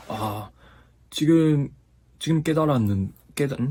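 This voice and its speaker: In a slight Japanese accent, a man speaks with a dark, mellow tone and lively intonation. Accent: slight Japanese accent in Korean. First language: Japanese (speaking Korean). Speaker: YouTuber and Korean language learner. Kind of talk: casual vlog talk. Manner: halting, self-correcting.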